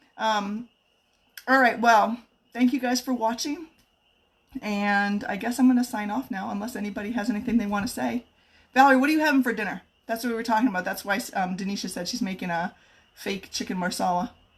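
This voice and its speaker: A somewhat breathy woman at a fairly high pitch, with ordinary pitch variation and long, frequent pauses. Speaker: home cook and kitchenware consultant. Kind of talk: live cooking stream. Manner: fast.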